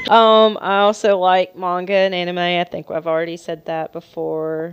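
With fairly even intonation, a woman with a fairly low pitch talks at a moderate pace. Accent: Southern US. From US South. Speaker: podcast co-host. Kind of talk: casual chat.

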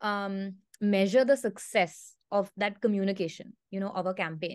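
Against a quiet background, a woman with a normal speaking voice talks at a moderate pace and a medium pitch. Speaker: podcast host. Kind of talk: moderated interview. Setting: video call.

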